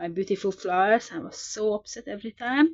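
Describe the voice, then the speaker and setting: A woman talks in a non-native accent. Her speaking pace is moderate. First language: not English. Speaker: sketchbook artist, video creator. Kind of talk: casual show-and-tell narration. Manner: hesitant, with fillers and repetitions.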